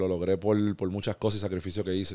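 Against a quiet background, a man speaks very fast in a dark, mellow tone. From Puerto Rico, Caguas area; Puerto Rico. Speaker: professional basketball player; podcast guest. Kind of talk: interview. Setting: barbershop studio. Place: studio. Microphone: studio mic.

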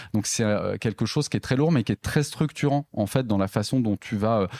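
The recording is very clean, with a silent background and a dry, close sound with no echo. A man speaks at medium pitch in a dark, mellow tone. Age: 30s. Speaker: entrepreneur, company cofounder. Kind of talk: interview conversation. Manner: hesitant, many fillers and repetitions.

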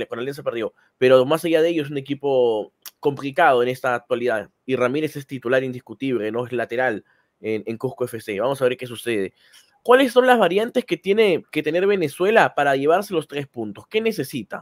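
A man talks at a fairly quick pace in an ordinary speaking voice, his pitch fairly high and his intonation lively, against a quiet background. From Peru, Lima; Peru. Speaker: football channel host. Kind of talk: casual chat. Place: home room. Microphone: studio mic.

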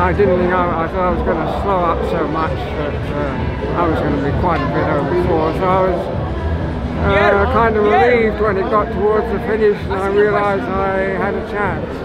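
Loud background noise runs behind the speaker. A man talks at a moderate pace. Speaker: marathon runner. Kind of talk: post-race interview answer. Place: street.

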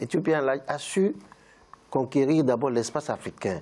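This man's voice has a dark, mellow tone. The pitch moves up and down in a normal way. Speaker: lawyer. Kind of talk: panel discussion. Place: studio. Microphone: lapel.

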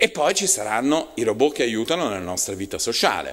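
The speaker is male. Nothing else is heard behind him. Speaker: university department director; lecturer. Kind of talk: panel talk. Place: meeting room. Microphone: podium.

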